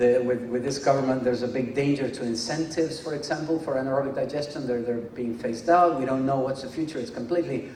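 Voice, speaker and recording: Amid noticeable background noise and audible room echo, a man at medium pitch talks at a very fast pace with fairly even intonation and hardly any pauses. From Venezuela, then Mexico. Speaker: engineering academic speaker. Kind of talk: conference lecture. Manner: hesitant with fillers and repetitions.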